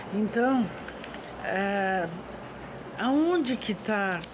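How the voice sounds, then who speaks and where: A woman speaks over noticeable background noise, and audible room echo can be heard. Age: 60s. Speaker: religious vlogger. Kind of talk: personal reflection monologue. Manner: halting.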